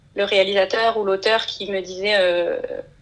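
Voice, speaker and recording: Noticeable background noise is present throughout. Over it, a woman speaks at a medium pitch. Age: 20s. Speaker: illustrator and storyboard artist. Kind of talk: interview.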